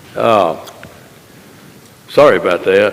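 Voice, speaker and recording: A man is heard over noticeable background noise. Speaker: county official. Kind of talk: public meeting discussion. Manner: loud.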